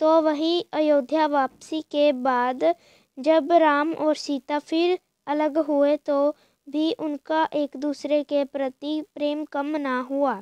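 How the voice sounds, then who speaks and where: A woman speaks at a high pitch in a monotone, flat way. The background is quiet. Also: dry, close sound with no echo. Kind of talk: moral storytelling narration.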